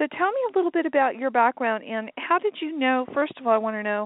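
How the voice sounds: Pitched high, a woman talks at a fast pace with lively intonation, and the sound is dry and close with no echo.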